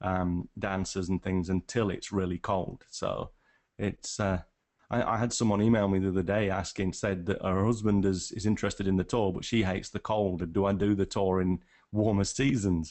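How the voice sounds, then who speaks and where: With a northern English accent, a man speaks at a fairly low pitch and a moderate pace. His intonation is monotone and flat. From England, Nottingham. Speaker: wildlife photographer. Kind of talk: casual chat. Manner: halting, many restarts.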